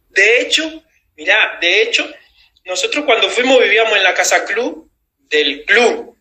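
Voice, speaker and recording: Very wide pitch swings in an animated tone. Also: man, high pitch for a man, fairly slow pace. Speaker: former footballer. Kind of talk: interview.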